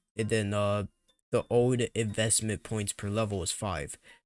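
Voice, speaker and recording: A quiet man speaks at a moderate pace and fairly low pitch, with a dry, close sound with no echo in a very clean recording with a silent background. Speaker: gaming youtuber. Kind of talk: casual commentary reading patch notes.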